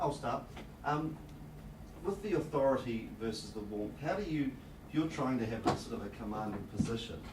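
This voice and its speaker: A man speaks with lively intonation and long, frequent pauses. Room echo is audible over noticeable background noise. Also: medium pitch for a man. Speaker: salesperson, meetup organiser. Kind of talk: audience question and closing remarks. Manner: fast.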